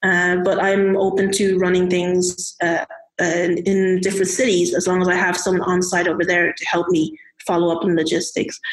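A woman of medium pitch speaks in a Dublin accent at a moderate pace. Her intonation is monotone and flat. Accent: Irish (Dublin). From Ireland (Irish Chinese, Dublin). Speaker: software engineer and community organizer. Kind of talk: casual interview chat. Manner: halting, many fillers.

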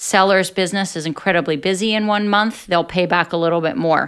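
A normal speaking voice from a woman with an American accent, fairly low pitch, and fairly even intonation, on a very clean recording with a silent background. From US, New Jersey (Atlantic City). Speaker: business executive. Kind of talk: interview.

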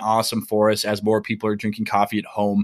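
A man at medium pitch, talking at a very fast pace. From Minnesota. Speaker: coffee roaster business owner. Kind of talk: casual interview.

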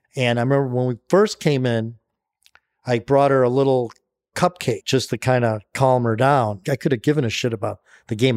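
This man has an unremarkable speaking voice at medium pitch, talking at a moderate pace with ordinary pitch variation in a dry, close sound with no echo on a very clean recording with a silent background. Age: 60s. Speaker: author and entrepreneur in recovery from alcoholism. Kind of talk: casual interview.

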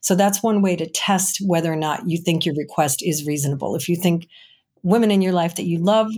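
A woman with an American accent has an unremarkable speaking voice at a fairly low pitch with ordinary pitch variation. She talks at a fairly quick pace on a very clean recording with a silent background. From Chicago. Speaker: recruiting agency owner and career coach. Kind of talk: podcast interview.

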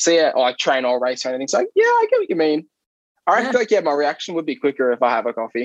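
Lively in intonation and very fast, the speaker talks with an Australian accent in a dry, close sound with no echo. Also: man, fairly high pitch for a man. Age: 20s. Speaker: athlete. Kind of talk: casual chat.

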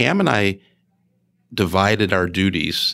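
On a very clean recording with a silent background, a man with an American accent speaks at a fairly low pitch. His tone is bright and sharp, and his intonation stays fairly even. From Chicago area, Illinois. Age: 60s. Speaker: retired school superintendent. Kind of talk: interview conversation.

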